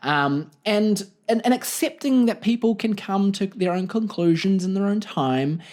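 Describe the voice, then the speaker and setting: Lively intonation and a New Zealand accent come through on a very clean recording with a silent background. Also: man, high pitch for a man, moderate pace. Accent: New Zealand (Kiwi) accent, says it's weird. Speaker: comedian and podcast host. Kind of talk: solo comedy podcast monologue. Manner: animated, expressive; rising intonation at ends.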